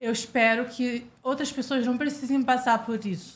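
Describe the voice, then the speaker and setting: A woman speaks at a fairly slow pace in a high voice, her intonation fairly even. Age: 20s. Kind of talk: interview chat.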